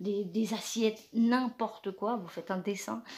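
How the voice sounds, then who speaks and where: A woman at a medium pitch speaks at a fairly slow pace, in a very clean recording with a silent background. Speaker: craft youtuber. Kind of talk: tutorial. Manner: halting, many hesitations.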